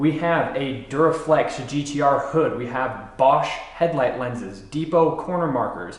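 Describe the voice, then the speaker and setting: Amid noticeable background noise and audible room echo, a man with a fairly high voice talks at a fairly slow pace with ordinary pitch variation. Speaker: car build youtuber. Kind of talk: tutorial.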